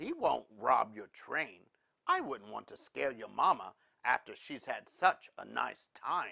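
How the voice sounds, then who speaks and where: A put-on character voice at a fairly slow pace. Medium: read story. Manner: folksy, genial.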